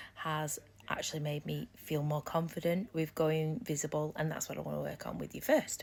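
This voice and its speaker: A woman with an East Midlands accent at a moderate pace. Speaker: business coach. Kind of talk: live stream talk. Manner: loud; animated.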